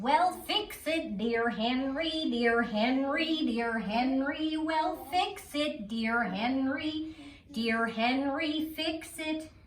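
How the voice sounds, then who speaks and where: A put-on character voice with lively intonation, very slow pace, clear background noise. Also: woman, high pitch for a woman. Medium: read story. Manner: bossy, repetitive.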